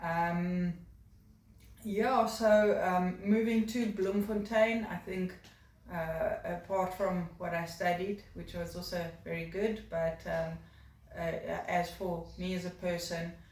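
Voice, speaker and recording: A woman with a South African accent talks very slowly at a medium pitch, her intonation fairly even, with audible room echo around her. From South Africa, Cape Town (Durbanville). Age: 30s. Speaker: job applicant. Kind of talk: video job application, personal introduction. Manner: hesitant, many fillers.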